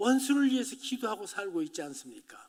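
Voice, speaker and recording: The man's voice sits at an extremely high pitch. He uses lively intonation. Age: 80s+. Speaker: pastor. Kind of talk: sermon.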